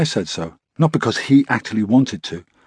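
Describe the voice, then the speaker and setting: A man with a British accent speaks at a fairly high pitch. His pitch swings very widely, and the sound is dry and close with no echo. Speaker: audiobook narrator. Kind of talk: audiobook narration. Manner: measured, storytelling tone; shifts into quoted dialogue for the father and son.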